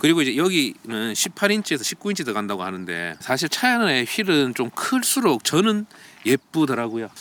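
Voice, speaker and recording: The voice moves at a fairly quick pace with very wide swings in pitch. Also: man. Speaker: car reviewer. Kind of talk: car review walkaround. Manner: casual, conversational.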